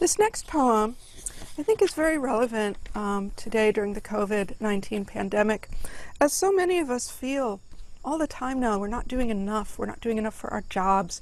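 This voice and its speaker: Her pitch fairly high, a woman uses a normal speaking voice with lively intonation at a moderate pace. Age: 40s. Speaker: poet. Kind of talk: poetry reading introduction. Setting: outdoors. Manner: conversational.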